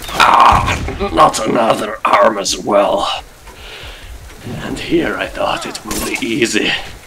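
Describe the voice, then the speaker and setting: Speaking very slowly in a put-on character voice, a man is heard over clear background noise. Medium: machinima. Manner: gruff and defiant.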